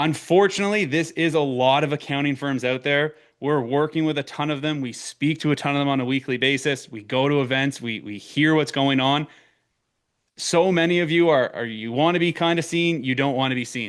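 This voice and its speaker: A man speaks in an Eastern Canadian accent. His pitch is fairly high and his pace fairly quick. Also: ordinary pitch variation. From Eastern Canada. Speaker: marketing consultant for accounting firms. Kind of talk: webinar presentation. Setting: online webinar.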